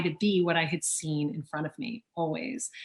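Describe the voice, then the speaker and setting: In an American accent, a woman talks at a moderate pace with ordinary pitch variation. It is a plain, everyday voice. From US South, Louisiana. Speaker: auctioneer and author. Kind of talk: interview. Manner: fluent.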